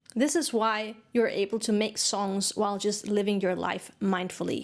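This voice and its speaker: A woman with a Danish accent and ordinary pitch variation. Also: medium pitch for a woman, moderate pace, very even loudness. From Denmark. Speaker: songwriting teacher. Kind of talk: online course lecture.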